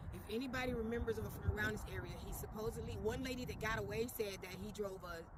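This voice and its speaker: Speaking very quickly in an American accent, a man's voice comes through audible room echo and noticeable background noise. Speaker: paranormal investigator. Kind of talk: on-location paranormal vlog. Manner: mumbling.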